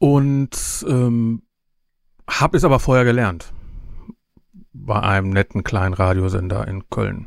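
Very slowly and with long, frequent pauses, a man speaks in a medium pitch with lively intonation. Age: 50s. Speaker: podcaster and event organizer. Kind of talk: casual interview. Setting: video call.

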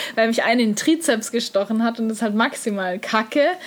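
The speech moves at a very fast pace with ordinary pitch variation over noticeable background noise. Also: woman. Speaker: podcast host and bodybuilding athlete. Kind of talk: casual chat.

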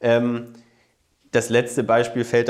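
A man's pitch sits in the medium range, and he keeps a moderate pace. His is a plain, everyday voice. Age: 30s. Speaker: politician. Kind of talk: interview.

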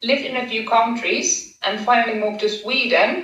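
A woman is heard amid audible room echo and noticeable background noise. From Finland. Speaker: former competitive swimmer, lawyer and triathlete. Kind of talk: interview podcast. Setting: video call.

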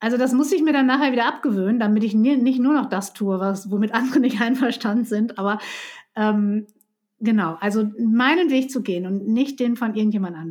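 A woman talks at a fairly quick pace in a fairly high, somewhat breathy voice. Her pitch varies in an ordinary way. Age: 50s. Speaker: psychotherapist and couples coach. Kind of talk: casual interview.

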